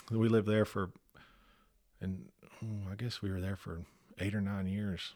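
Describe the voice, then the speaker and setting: Long, frequent pauses break up a man's moderate-paced speech, his dark, mellow tone and fairly low pitch carried in a fairly even intonation. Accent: Texan. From Texas. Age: 40s. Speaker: church member. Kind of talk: casual chat.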